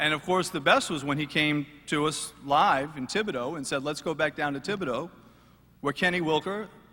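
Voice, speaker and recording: A man speaks at a fairly quick pace in a fairly high pitch, with ordinary pitch variation. Noticeable background noise sits behind him. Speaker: sports radio sideline reporter. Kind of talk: roast speech at live event.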